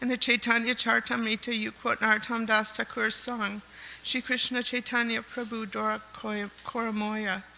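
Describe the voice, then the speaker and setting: Noticeable background noise behind a fairly high-pitched woman at a moderate pace. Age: 70s. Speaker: devotee reading a homage. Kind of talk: reading aloud. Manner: halting.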